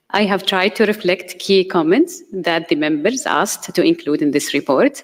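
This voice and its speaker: This woman's voice sits at a medium pitch. It rises and falls in an ordinary way. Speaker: committee chairperson. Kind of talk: formal report presentation. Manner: fast; formal.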